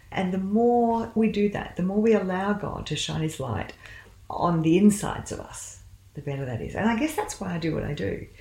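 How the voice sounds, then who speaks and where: A woman's somewhat breathy, medium-pitched voice with lively intonation. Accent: Australian. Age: 60s. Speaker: medical doctor and counsellor. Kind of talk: interview about faith and career.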